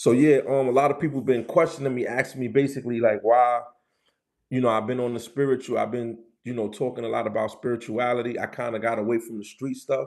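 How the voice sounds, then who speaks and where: A man with a New York accent talks very fast at a medium pitch, his intonation fairly even. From New York City, the Bronx. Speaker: street culture and spirituality livestreamer. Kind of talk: casual livestream chat.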